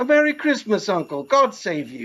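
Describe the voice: Putting on a character voice, a man talks at a moderate pace in a high pitch with very wide swings and a fairly bright tone.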